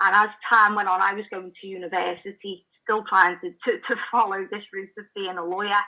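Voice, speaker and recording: A woman with a Liverpool accent speaks at a moderate pace and medium pitch, her intonation monotone and flat, her loudness swinging widely, with hardly any pauses. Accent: Scouse. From Liverpool, England. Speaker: spiritual channel and writer. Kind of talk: interview testimony.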